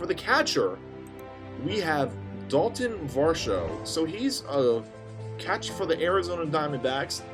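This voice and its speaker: A man speaks fairly slowly at a fairly high pitch, with long, frequent pauses and very wide pitch swings. Music plays in the background. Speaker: sports commentary YouTuber. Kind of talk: casual talk to camera. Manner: stuttering, stumbling.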